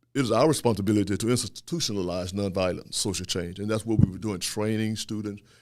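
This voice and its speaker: In a very clean recording with a silent background, a man with an American accent talks at a very fast pace with hardly any pauses, his fairly low pitch varying in an ordinary way. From US South (Louisiana). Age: 60s. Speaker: historian and professor. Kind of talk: podcast interview.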